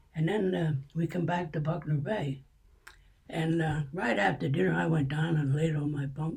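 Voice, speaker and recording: A man's fairly high voice in a Pennsylvania accent. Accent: Pennsylvania American. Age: 80s+. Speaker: World War II veteran. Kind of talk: interview answer.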